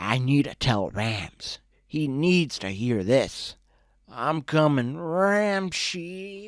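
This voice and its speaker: A man puts on a character voice, raspy and gravelly at a fairly high pitch. He speaks at a very slow pace on a very clean recording with a silent background. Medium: read story. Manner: excitable, whooping.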